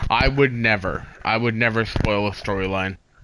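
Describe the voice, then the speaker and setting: A man speaks at a medium pitch and a moderate pace, with ordinary pitch variation. There is noticeable background noise. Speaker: gaming streamer. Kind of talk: live gameplay stream chat.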